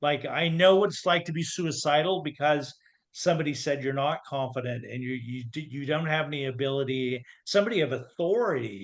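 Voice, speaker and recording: A man with an American accent, an ordinary speaking voice, fairly high pitch, ordinary pitch variation and a fairly quick pace. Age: 60s. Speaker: confidence coach. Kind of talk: podcast interview.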